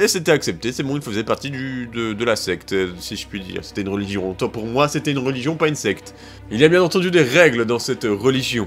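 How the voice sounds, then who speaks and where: A man at a very fast pace over music in the background. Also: medium pitch for a man, lively intonation. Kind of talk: casual humorous history narration to camera. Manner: playful, joking.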